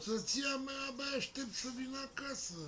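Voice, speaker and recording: Under light background noise, a man talks at a fairly slow pace in a raised, projected voice. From Romania. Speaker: grandfather. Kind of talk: casual interview answer. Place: garage. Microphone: phone near.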